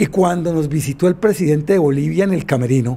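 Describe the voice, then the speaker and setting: Lively intonation in a man's fairly high voice. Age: 50s. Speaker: former futsal player; former champion coach. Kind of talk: interview testimony. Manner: halting. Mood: nostalgic, emotional recollection. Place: home room. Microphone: handheld.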